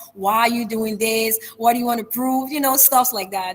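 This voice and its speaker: Over noticeable background noise, a woman speaks in a fairly high pitch with fairly even intonation. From Liberia. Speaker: public speaker and brand ambassador. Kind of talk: interview. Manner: fast.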